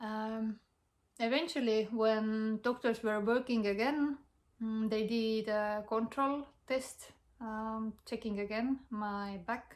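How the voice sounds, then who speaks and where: The speaker has an Estonian accent and talks at a very slow pace. The intonation stays fairly even. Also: woman, fairly high pitch for a woman. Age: young. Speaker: health vlogger. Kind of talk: personal testimony. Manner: halting.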